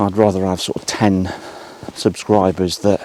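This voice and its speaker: A man's very deep, low voice at a moderate pace, with fairly even intonation over noticeable background noise. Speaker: photographer. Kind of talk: casual vlog narration. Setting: outdoors.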